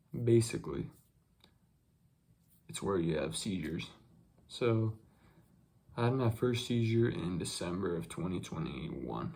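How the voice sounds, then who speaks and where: At a fairly slow pace, a man with a fairly low, somewhat breathy voice makes very wide pitch swings and takes long, frequent pauses. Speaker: YouTuber. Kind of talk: casual chat. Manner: halting.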